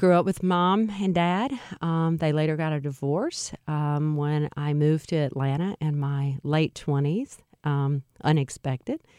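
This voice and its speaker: Someone speaks at a fairly slow pace with a slight Louisiana accent and a dark, mellow tone. Pitch varies in an ordinary way, and the sound is dry and close with no echo. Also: woman, very deep, low pitch for a woman. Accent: slight Louisiana Southern. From central Louisiana. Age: 50s. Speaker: nonprofit executive. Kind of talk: interview conversation. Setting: studio.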